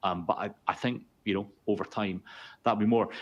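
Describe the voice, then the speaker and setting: A man with a Scottish accent, fairly low pitch and a fairly quick pace, over a quiet background. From Scotland. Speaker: consultancy founder and chief executive. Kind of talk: webinar discussion.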